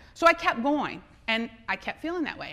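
Noticeable background noise sits behind a woman with an American accent, who speaks in an animated tone at a moderate pace. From US South, South Louisiana. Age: 40s. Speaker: entrepreneur and speaker. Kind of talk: conference talk. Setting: stage with audience.

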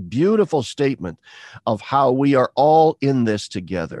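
With an American accent, a man speaks in a dry, close sound with no echo against a quiet background. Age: 60s. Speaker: retired theology professor. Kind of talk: interview conversation.

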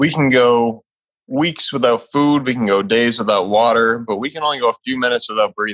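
A man with an American accent talks at a moderate pace in a plain, everyday voice with ordinary pitch variation. The recording is very clean, with a silent background. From Massachusetts. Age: 20s. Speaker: holistic lifestyle coach. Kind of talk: interview.

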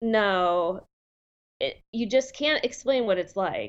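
The pace is fairly slow. It is an unremarkable speaking voice, and the pitch varies in an ordinary way. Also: woman. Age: 40s. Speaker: guest with lupus. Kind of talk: casual interview.

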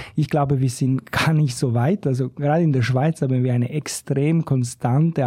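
With a dark, mellow tone and a somewhat breathy quality, a man of medium pitch talks at a moderate pace in a dry, close sound with no echo. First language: not German (speaking German). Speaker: economist, think tank researcher. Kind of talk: casual chat. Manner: halting.

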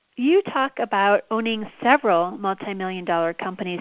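This is an unremarkable speaking voice, delivered fairly quickly. Pitch rises and falls by an ordinary amount. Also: woman. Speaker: podcast host. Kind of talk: interview.

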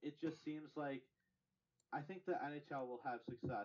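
A man's intonation stays fairly even in an ordinary speaking voice. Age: 20s. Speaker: hockey podcast co-host. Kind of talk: casual chat.

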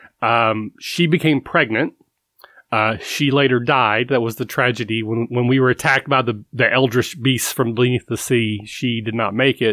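In a Kentucky accent, a man speaks with fairly even intonation and a bright, sharp tone. The recording is very clean with a silent background and a dry, close sound with no echo. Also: medium pitch for a man, moderate pace. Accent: Kentucky Southern American. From US South, Kentucky. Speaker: tabletop RPG podcaster. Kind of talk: casual interview chat. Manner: halting, with repeated words.

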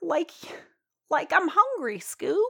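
A woman uses a put-on character voice pitched extremely high. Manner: dopey, laid-back.

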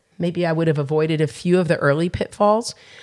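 A woman with an American accent speaks at a fairly quick pace in a plain, everyday voice. Her pitch is fairly low, and the recording is very clean with a silent background. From New Jersey, US Northeast. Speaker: chef and restaurant owner. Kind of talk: interview conversation.

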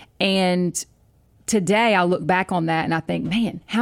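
A woman's normal speaking voice, fairly low in pitch and at a moderate pace, on a very clean recording with a silent background. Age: 40s. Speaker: pastor's wife, author and podcast co-host. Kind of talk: casual chat.

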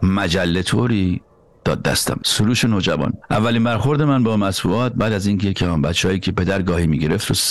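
Over noticeable background noise, a man with a fairly low pitch talks very fast, with very even loudness and ordinary pitch variation. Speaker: podcast host and journalist. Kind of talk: scripted narration; casual discussion.

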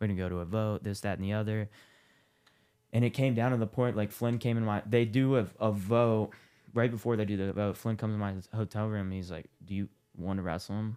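On a very clean recording with a silent background, a man with an American accent uses a normal speaking voice, fairly low in pitch, at a fairly quick pace with fairly even intonation. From Ohio, Columbus. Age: 20s. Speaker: amateur MMA fighter and former college wrestler. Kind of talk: casual interview.

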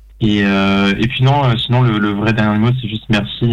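This man's voice sits fairly low, moving at a fairly slow pace with fairly even intonation. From Paris suburbs. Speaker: film director. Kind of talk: interview.

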